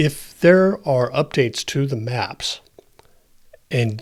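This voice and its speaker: A man speaks at a fairly slow pace in a somewhat breathy, medium-pitched voice with ordinary pitch variation, on a very clean recording with a silent background. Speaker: tech tutorial creator. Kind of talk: tutorial narration.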